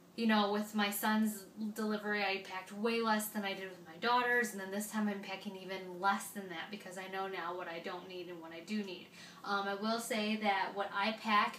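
Monotone, flat intonation comes through with audible room echo and light background noise. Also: woman, moderate pace. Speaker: parenting vlogger. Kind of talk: casual vlog chat. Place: home room. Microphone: camera far.

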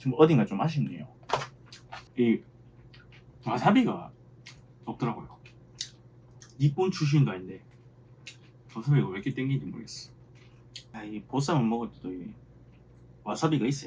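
In a Gyeongsang accent, a man speaks fairly quickly with vocal fry, a dark, mellow tone and very wide pitch swings. His loudness swings a lot, and he leaves long, frequent pauses. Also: medium pitch for a man. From Busan, South Korea. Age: 30s. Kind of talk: mukbang, casual talk to camera.

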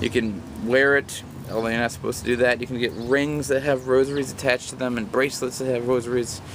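A man speaks at a very fast pace in a monotone, flat intonation, with a dry sound with no echo and noticeable background noise. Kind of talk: casual vlog chat. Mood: warm, earnest. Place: garden. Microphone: phone near.

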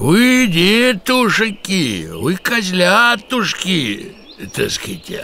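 Here a man uses a put-on character voice. It sits high in pitch. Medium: read story. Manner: hesitant, rambling.

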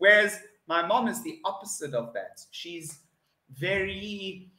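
Raising and projecting his voice, a man with a South African accent speaks at a fairly slow pace and high pitch, his bright, sharp tone carrying lively intonation and big swings in loudness amid audible room echo. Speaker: online English tutor. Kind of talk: online English lesson conversation. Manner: upbeat, spontaneous. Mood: cheerful, chatty. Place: home room.

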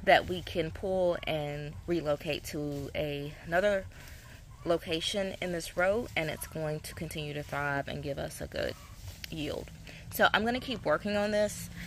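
Over light background noise, a woman talks fairly slowly with ordinary pitch variation and big swings in loudness, the sound dry with no echo. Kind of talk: tutorial. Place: garden.

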